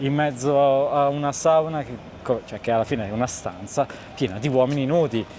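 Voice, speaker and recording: Noticeable background noise accompanies a man with a fairly high pitch, ordinary pitch variation and a fairly quick pace. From northern Italy, Pavia province. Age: 30s. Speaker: video maker. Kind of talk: casual chat. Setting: restaurant. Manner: animated.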